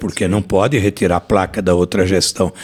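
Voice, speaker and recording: A man is speaking. His pace is moderate. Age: 60s. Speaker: former mayor. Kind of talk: interview.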